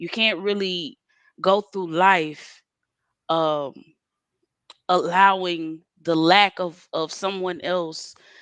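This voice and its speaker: A woman speaks in a Southern US accent at a very slow pace. Long, frequent pauses fill her speech against a quiet background. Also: fairly low pitch for a woman, fairly even intonation. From Mississippi, Moss Point. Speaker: spoken word poet. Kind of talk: interview.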